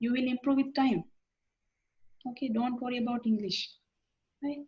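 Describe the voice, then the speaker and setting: A woman speaks with a Sri Lankan accent at a high pitch. Her intonation is fairly even. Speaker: university lecturer. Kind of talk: lecture. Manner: halting, many fillers.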